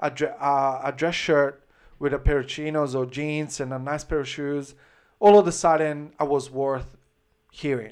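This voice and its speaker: Someone speaks with an Italian accent at a fairly slow pace. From Italy, Florence (Tuscany). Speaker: menswear brand founder. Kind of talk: casual chat. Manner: halting.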